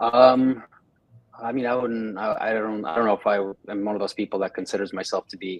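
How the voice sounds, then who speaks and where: A man with a Russian accent talks at a fairly low pitch and with fairly even intonation. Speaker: sales and talent acquisition consultant. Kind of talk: interview. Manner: halting.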